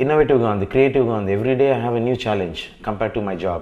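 In an ordinary speaking voice, a man talks at a medium pitch with ordinary pitch variation against a quiet background. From Hyderabad, India; India. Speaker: film actor. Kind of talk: interview. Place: office. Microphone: lapel.

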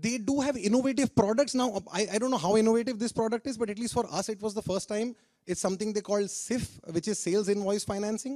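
Words pour out at a very fast pace with hardly any pauses and ordinary pitch variation. The background is quiet. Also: man, high pitch for a man. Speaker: speaker. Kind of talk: testimonial talk to audience. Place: stage. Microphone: handheld.

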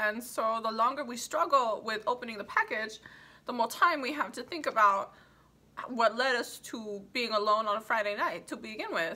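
A woman talks with lively intonation at a moderate pace, her pitch sitting high. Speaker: comic sketch performer. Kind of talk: comedic mock phone call monologue. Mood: exasperated, wry, hesitant.

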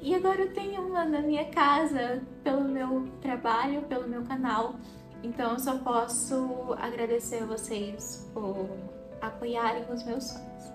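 Clear music plays in the background. The speaker talks at a fairly slow pace with ordinary pitch variation. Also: woman, high pitch for a woman. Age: 20s. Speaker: artist vlogger. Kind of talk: casual vlog talk to camera. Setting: home art studio. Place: home room. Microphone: phone near.

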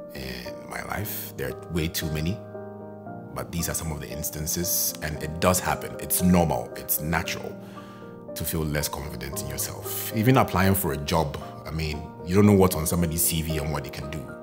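A man speaks at a moderate pace. Clear music plays in the background. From Ghana. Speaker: freelance voice-over artist, photographer, YouTuber. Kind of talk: interview answer about personal experience. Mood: calm, reflective. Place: home room.

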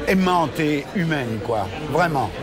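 Crowd noise fills the background. A man speaks very slowly, with ordinary pitch variation. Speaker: interview guest, actor. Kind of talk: interview answer. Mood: reflective, emotional. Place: bar.

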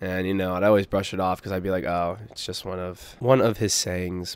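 With an American accent, a man speaks in a very deep, low pitch and a monotone, flat intonation. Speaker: gaming YouTuber. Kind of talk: personal vlog update.

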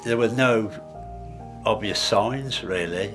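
Clear music sits in the background while a man speaks with ordinary pitch variation. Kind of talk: interview answer. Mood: reflective, serious personal story. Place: home room.

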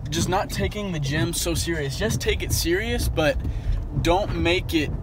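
A man's dry, echo-free voice comes through loud background noise. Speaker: vlogger. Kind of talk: casual vlog chat. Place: car. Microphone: phone near.

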